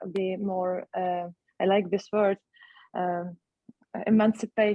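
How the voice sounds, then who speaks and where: A woman with a Ukrainian accent at a very slow pace, medium pitch, and monotone, flat intonation. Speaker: actress. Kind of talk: panel discussion. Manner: halting.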